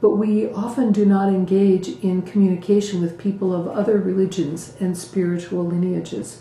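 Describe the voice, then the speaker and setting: Audible room echo surrounds a woman of medium pitch who talks at a moderate pace with fairly even intonation. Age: 60s. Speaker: Buddhist community teacher. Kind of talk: talk to community.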